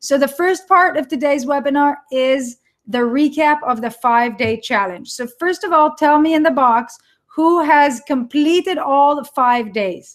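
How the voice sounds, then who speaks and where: With an Israeli accent, the speaker shows ordinary pitch variation. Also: woman. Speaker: online entrepreneur and course coach. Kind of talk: live webinar. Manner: animated.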